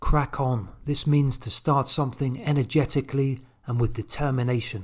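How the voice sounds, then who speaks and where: In a British accent, a somewhat breathy voice moves at a moderate pace with ordinary pitch variation, captured in a very clean recording with a silent background. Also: man, fairly high pitch for a man. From London, England. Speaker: English teacher. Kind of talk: language lesson to camera.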